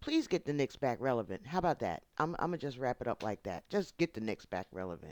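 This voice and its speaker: A woman with a very deep, low voice and an American accent speaks at a fairly quick pace in an animated tone with very wide pitch swings, on a very clean, dry, close recording with no echo and a silent background. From New York. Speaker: YouTube channel host. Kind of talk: casual vlog monologue.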